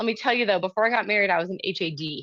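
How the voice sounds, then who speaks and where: A woman speaks against a quiet background. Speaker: quilting teacher. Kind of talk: live online workshop. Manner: fast.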